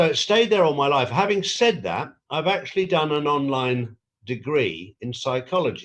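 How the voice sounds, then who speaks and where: At a moderate pace, a man speaks with a fairly high pitch and very wide pitch swings. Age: 60s. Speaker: conspiracy influencer interviewee. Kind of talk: interview. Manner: halting.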